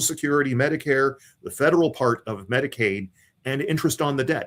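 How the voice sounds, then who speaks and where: This is a man speaking. He has an American accent. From Ohio, US Midwest. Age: 60s. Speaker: political candidate. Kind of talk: interview. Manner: halting, repeats words.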